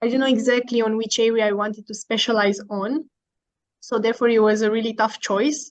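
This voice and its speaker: Fairly quick in pace, a woman with a Romanian accent speaks in monotone, flat intonation. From Romania, Bucharest. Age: 20s. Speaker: university student. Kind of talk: informational presentation. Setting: online video call.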